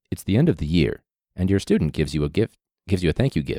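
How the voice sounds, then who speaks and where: Putting on a character voice, a man speaks at a very fast pace. His pitch is very deep and low. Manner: dramatic announcer delivery.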